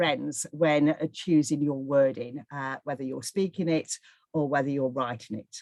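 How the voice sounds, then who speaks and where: A woman speaks with a northwest English accent at a moderate pace. The sound is dry and close with no echo, and the background is quiet. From northwest England. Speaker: charity fundraising trainer. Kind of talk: webinar presentation. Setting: online webinar.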